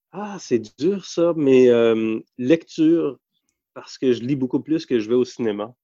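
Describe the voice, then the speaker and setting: The sound is dry and close with no echo as a man talks in a dark, mellow tone. His pace is very slow. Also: medium pitch for a man, lively intonation, big swings in loudness. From Quebec (Montreal, Hochelaga-Maisonneuve, and Eastern Townships). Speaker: economics journalist. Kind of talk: casual interview.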